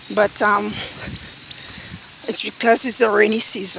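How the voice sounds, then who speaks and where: A woman speaks in a fairly high pitch. The sound is dry with no echo, and background noise is noticeable. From Saint Lucia. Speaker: vlogger; vlogger mother. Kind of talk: casual vlog narration. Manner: animated. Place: open country. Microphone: phone near.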